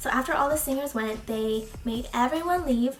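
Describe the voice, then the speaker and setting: A woman speaks at a fairly quick pace in a high voice. Noticeable background noise runs underneath. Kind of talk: casual talk to camera.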